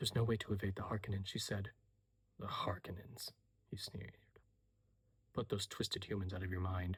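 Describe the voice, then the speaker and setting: A soft-spoken man with a fairly low pitch talks at a fairly quick pace in a flat monotone, his somewhat breathy voice broken by long, frequent pauses. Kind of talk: soft-spoken audiobook reading of a novel excerpt. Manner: soft-spoken, quiet, ASMR-style.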